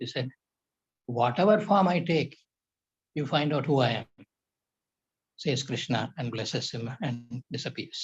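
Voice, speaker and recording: A man's fairly high, somewhat breathy voice with ordinary pitch variation, in a dry, close sound with no echo. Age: 80s+. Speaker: yoga professor. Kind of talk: lecture.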